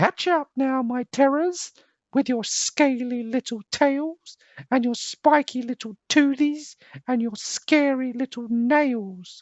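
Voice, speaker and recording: A female-sounding voice takes on a put-on character at a high pitch. The pace is fairly slow. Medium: read story.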